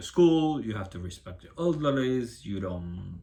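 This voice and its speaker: Somewhat breathy and fairly low in pitch, a man speaks at a moderate pace with very wide pitch swings. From Cuba. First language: Spanish. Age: 30s. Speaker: vlogger. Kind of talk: personal testimony. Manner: halting.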